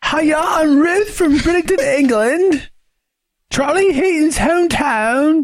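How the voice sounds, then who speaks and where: A put-on character voice with a high pitch speaks at a fairly slow pace in a British accent. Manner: cheerful greeting.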